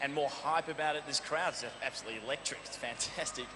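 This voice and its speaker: With an Australian accent, a man speaks at a fairly high pitch and moderate pace over noticeable background noise. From Australia, Melbourne. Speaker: game show contestant, fitness trainer. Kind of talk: TV interview. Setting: arena with live audience.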